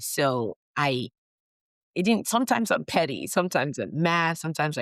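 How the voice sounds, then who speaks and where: A woman with a very deep, low pitch talks at a moderate pace with lively intonation, the sound dry and close with no echo on a very clean recording with a silent background. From Nigeria. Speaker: physician. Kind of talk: interview. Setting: podcast recording.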